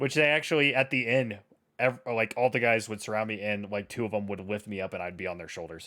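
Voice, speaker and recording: A man's fairly low voice races along at a very fast pace. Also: ordinary pitch variation. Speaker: podcast co-host. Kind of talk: casual chat. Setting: livestream.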